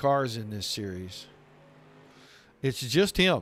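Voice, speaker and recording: A man speaks at a fairly slow pace. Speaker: race commentator. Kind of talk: live commentary. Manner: subdued.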